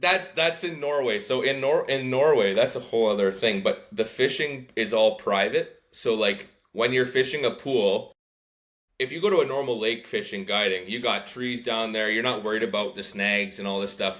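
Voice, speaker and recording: An ordinary speaking voice with a Canadian accent. It moves at a moderate pace with lively intonation. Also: man, medium pitch for a man. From Canada. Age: 20s. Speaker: fishing guide. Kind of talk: casual chat.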